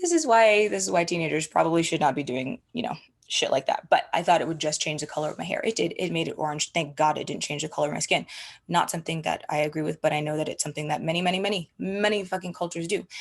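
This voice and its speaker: Talking at a very fast pace, a woman has a fairly low pitch and ordinary pitch variation. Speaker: wellness coach and creator. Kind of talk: live stream talk. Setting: live stream.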